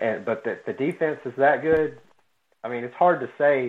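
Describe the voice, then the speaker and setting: A man delivers his words at an average pace in an unremarkable speaking voice, his pitch varying in an ordinary way. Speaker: sports podcast co-host. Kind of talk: casual chat.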